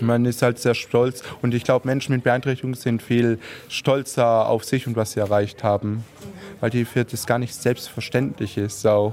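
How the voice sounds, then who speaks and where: Speaking with an unremarkable speaking voice, a man keeps a medium pitch, fairly even intonation, and a moderate pace. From Heilbronn, southwest Germany. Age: 30s. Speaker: amateur football goalkeeper. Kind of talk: interview.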